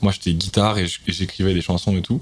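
A man's very deep, low voice with fairly even intonation and noticeable background noise. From Paris, 12th arrondissement. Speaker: singer and rapper. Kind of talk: casual chat.

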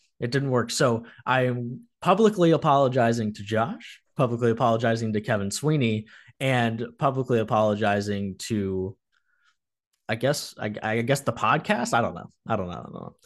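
Over a quiet background, a man with an unremarkable speaking voice talks at medium pitch and a moderate pace, showing ordinary pitch variation and big swings in loudness. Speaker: podcast host. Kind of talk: casual sports chat.

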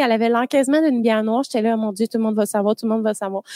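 With a Quebec accent and ordinary pitch variation, a woman is heard in a dry, close sound with no echo. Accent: Québécois French. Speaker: podcast host. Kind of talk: casual chat. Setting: studio.

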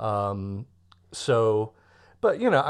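A man at fairly low pitch and a very slow pace. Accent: Californian. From US West Coast, Los Angeles. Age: 50s. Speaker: musician and songwriter. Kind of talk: casual interview. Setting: remote call.

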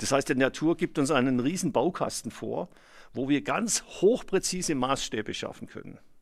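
A man speaks in a normal speaking voice, fairly high in pitch, at a moderate pace with lively intonation. The recording is very clean, with a silent background. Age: 60s. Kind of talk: interview, explanatory.

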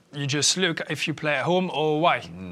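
At a fairly slow pace, a bright, sharp tone carries ordinary pitch variation in a very clean recording with a silent background. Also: man. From France (Paris), raised mostly in London. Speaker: former professional footballer. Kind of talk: casual chat.

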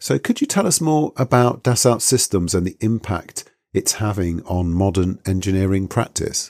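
This man has a British accent and a fairly low pitch, speaking at a moderate pace with lively intonation. The sound is dry and close, with no echo. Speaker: podcast host, engineering academic. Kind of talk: interview.

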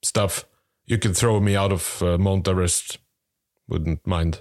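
The man speaks with a fairly low pitch. His recording is very clean, with a silent background. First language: not English. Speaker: podcast co-host. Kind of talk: casual comedic chat. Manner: halting, searching for words.

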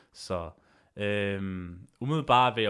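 This is a man speaking. His pitch is fairly low. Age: 30s. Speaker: MMA podcast host. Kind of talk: solo podcast monologue. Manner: halting, many filler sounds.

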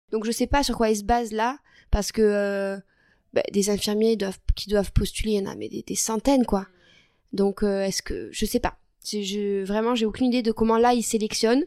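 Her fairly high voice has a dark, mellow tone, and the woman keeps a moderate pace and fairly even intonation in a very clean recording with a silent background. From southwestern France (Lot, Figeac). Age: 20s. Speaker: nurse and medical student. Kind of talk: interview.

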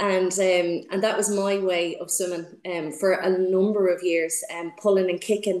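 A woman's medium-pitched voice in a Dublin accent, fairly slow and monotone with flat intonation. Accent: Dublin Irish. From Dublin, Ireland. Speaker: swimming coach. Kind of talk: interview. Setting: video call. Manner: hesitant, many fillers.

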